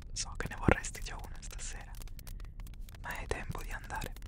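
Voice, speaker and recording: A man whispers in a gentle tone. The sound is dry with no echo, though background noise is loud. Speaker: ASMR storyteller. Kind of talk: soft-spoken roleplay storytelling. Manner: gentle bedtime whisper. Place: home room. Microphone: studio mic.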